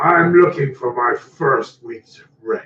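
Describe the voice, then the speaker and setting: A man puts on a raspy character voice, pitched high and delivered at a very slow pace. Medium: actual play. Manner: gruff, threatening.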